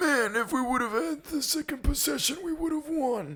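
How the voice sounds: Speaking at a moderate pace, the put-on character voice is high-pitched and delivered in a New York accent.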